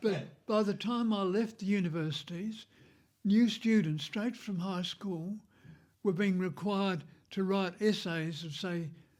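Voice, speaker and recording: A man's high-pitched voice in a very clean recording with a silent background. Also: fairly even intonation, fairly slow pace. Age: 80s+. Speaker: retired academic and street musician. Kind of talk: interview conversation.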